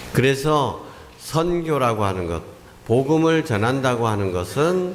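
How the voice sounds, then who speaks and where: The recording carries audible room echo and noticeable background noise. A man talks at a very slow pace with very wide pitch swings. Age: 60s. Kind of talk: sermon.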